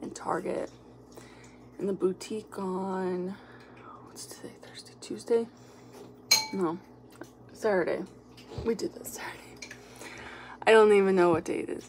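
A woman at a moderate pace, fairly even intonation, long and frequent pauses, light background noise. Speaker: mom vlogger. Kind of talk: casual vlog chat. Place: kitchen. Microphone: phone near.

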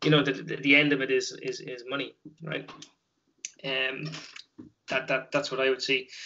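In a Dublin accent, a man speaks at a moderate pace in a flat monotone, with long, frequent pauses and light background noise behind him. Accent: Dublin Irish. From Dublin, Ireland; Ireland. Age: 30s. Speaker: taekwon-do instructor; interview guest, club instructor. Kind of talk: casual interview. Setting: video call. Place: home room. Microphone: video call.

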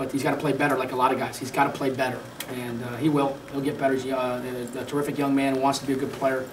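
The man's intonation stays flat and monotone, with noticeable noise in the background. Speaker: basketball head coach. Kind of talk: interview answer. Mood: frustrated after a loss. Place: meeting room. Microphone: podium.

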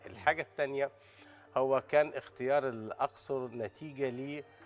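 Light background noise sits behind the speaker. He is a man talking at a fairly slow pace. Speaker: guest. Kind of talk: interview answer. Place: studio. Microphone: lapel.

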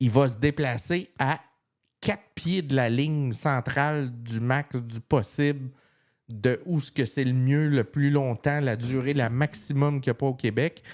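Animated in tone and fairly slow, the speech has ordinary pitch variation over a quiet background. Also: man. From Quebec. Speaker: tech podcast co-host. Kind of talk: casual chat. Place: home room.

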